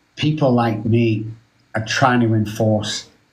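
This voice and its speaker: A man's mid-pitched voice carries with noticeable echo from the room. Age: 60s. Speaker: addiction specialist. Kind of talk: casual chat. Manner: animated.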